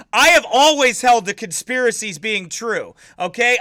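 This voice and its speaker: Shouting in a raised, projected voice, a man speaks at a moderate pace with an extremely high pitch. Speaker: pastor. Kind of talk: livestream commentary. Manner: yelling; animated.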